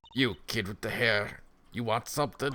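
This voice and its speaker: A man uses a put-on character voice that is husky and raspy, at a medium pitch. He speaks at a moderate pace with ordinary pitch variation. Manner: suspicious, curt.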